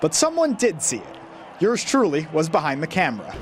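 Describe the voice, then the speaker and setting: Very wide pitch swings mark a man's speech at a very fast pace. Noticeable background noise runs underneath. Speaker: sports reporter and anchor. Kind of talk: TV feature package narration and interview.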